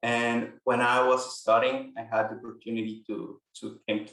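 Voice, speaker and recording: A man speaks with a Mexican accent. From Mexico. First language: Spanish. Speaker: immigration paralegal. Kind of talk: interview. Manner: halting, repeats words.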